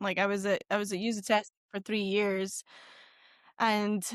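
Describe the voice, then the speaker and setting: A speaker with a west of Scotland accent talks at a moderate pace. The sound is dry and close with no echo against a quiet background. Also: woman. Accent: west of Scotland Scottish. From west coast of Scotland. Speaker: marketing executive and entrepreneur. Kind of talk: podcast interview.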